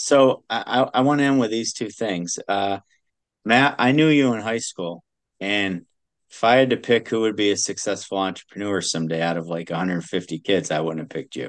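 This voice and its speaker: Using a plain, everyday voice, a man speaks at a fairly quick pace and fairly low pitch. His intonation is lively, and the background is quiet. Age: 50s. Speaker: podcast host. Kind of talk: casual interview chat.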